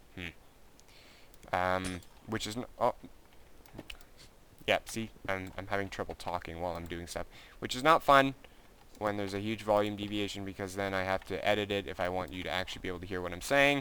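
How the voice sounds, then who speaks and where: Mumbling at a fairly quick pace with long, frequent pauses, a man with a fairly low pitch and a bright, sharp tone shows ordinary pitch variation. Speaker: gaming youtuber. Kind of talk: gameplay commentary. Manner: gets quiet when improvising.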